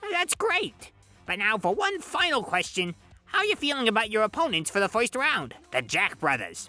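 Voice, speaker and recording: In a put-on character voice, a man speaks at a high pitch and moderate pace while faint music plays in the background. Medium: audio drama. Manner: brash, folksy, wisecracking.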